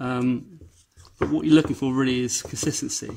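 A man with an English accent talks at a fairly slow pace over noticeable background noise. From England. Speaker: home cook. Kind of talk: casual cooking tutorial to camera. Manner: upbeat, jokey. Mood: relaxed, cheerful. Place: kitchen. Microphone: camera far.

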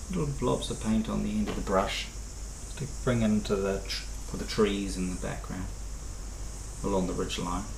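A man's very deep, low voice at a moderate pace, with audible room echo and light background noise. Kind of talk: tutorial. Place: garage.

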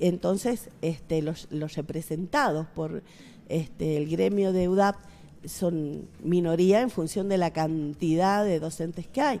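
A woman's fairly low, dark and mellow voice, with ordinary pitch variation and a very slow pace. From Argentina, San Juan (Rawson); Argentina. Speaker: political candidate; candidate. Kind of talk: interview. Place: studio. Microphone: headset.

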